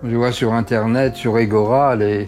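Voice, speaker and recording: A man with a medium-pitched voice talks as music plays behind him. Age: 80s+. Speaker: doctor. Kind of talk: interview. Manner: halting.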